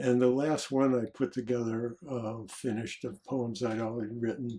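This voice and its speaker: In an American accent, a man talks at a medium pitch with a dark, mellow tone. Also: ordinary pitch variation, moderate pace. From US Midwest, Detroit, Michigan. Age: 80s+. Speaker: psychologist and author. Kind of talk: interview conversation. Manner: reflective, with filler words.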